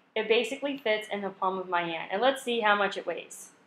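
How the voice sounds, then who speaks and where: A woman with an American accent, fairly high in pitch with ordinary variation, in a room with audible echo. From California. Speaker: travel vlogger. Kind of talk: vlog narration. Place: shop. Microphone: phone near.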